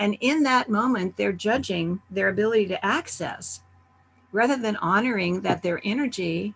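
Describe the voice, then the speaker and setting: Vocal fry from a woman at medium pitch, moderate pace and ordinary pitch variation. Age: 70s. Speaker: summit presenter, wellness speaker. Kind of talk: virtual summit talk. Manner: conversational.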